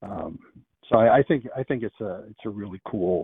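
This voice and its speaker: Here is a man with a normal speaking voice. He keeps a moderate pace and fairly even intonation. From Pennsylvania. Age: 60s. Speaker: caller. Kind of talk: casual phone chat. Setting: phone call.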